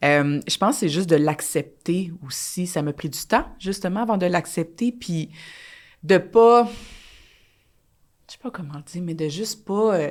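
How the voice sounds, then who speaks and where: A woman with a Quebec accent at a fairly low pitch and a fairly slow pace, lively in intonation, with long, frequent pauses and big swings in loudness, in a very clean recording with a silent background. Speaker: dancer and choreographer. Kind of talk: casual chat.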